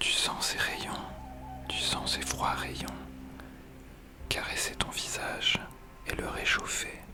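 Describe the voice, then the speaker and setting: Whispering at a very slow pace with long, frequent pauses, the speaker is heard over music in the background. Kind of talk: guided meditation. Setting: headphones-oriented ASMR recording. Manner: whispered, soft-spoken, slow.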